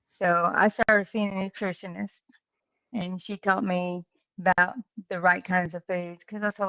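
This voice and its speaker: A woman's bright, sharp voice, flat and monotone, at a moderate pace, in a dry, close sound with no echo. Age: 60s. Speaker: truck driver. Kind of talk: interview.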